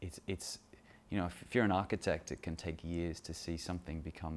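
With an Australian accent, a man speaks in a very deep, low pitch over light background noise. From Australia, Sydney. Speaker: photographer. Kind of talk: talking-head monologue about his photos. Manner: hesitant, many fillers. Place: kitchen.

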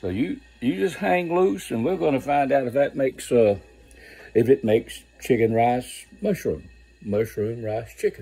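A man's dark, mellow voice at a medium pitch, with vocal fry, a slightly husky edge, ordinary pitch variation and a fairly slow pace

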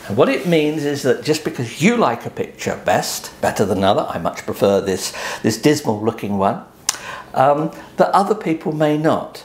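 A man with a fairly high pitch speaks at a moderate pace, his pitch swinging very widely, with audible room echo. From eastern England, Suffolk coast; eastern England. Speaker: photographer; photographer explaining print sales. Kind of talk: tutorial. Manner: hesitant, with frequent ums. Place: home room.

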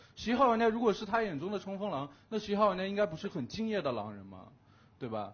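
This man talks at a very fast pace in a high pitch, with lively intonation and big swings in loudness. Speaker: werewolf game player. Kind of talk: game argument speech. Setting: studio. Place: studio. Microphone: headset.

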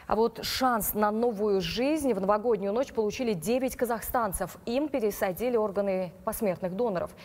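In a plain, everyday voice, a woman speaks at a moderate pace with a fairly high pitch, ordinary pitch variation, very even loudness and hardly any pauses. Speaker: news anchor. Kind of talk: news reading. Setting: studio. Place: studio.

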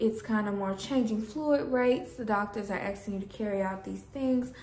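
Light background noise and audible room echo around a female speaker. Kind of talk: casual vlog chat. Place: home room. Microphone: phone near.

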